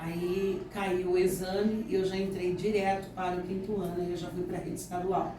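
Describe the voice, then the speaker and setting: Over noticeable background noise and audible room echo, a woman speaks at a medium pitch and moderate pace with monotone, flat intonation. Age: 60s. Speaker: schoolteacher. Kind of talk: interview.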